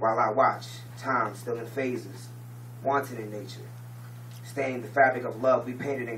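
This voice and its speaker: A man's monotone, flat intonation over noticeable background noise. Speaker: slam poet. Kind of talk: poetry slam performance. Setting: live audience event.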